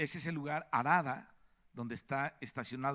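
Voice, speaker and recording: Recorded very cleanly against a silent background, a man uses a plain, everyday voice at a medium pitch, with lively intonation and a moderate pace. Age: 60s. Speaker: preacher. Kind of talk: sermon.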